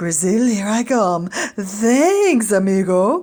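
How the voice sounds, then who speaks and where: Putting on a character voice, a woman speaks at a very slow pace and a medium pitch. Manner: cheerful, casual, grateful.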